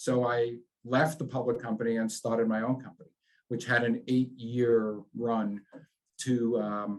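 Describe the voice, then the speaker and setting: A man speaks in a New York accent at a medium pitch. His delivery is fairly slow with a monotone, flat intonation. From New York, Long Island. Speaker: business executive. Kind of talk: interview.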